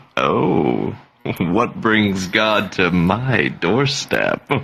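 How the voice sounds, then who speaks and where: Putting on a character voice, a man speaks very slowly in a very deep, low pitch with a smug tone. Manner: smooth, smug.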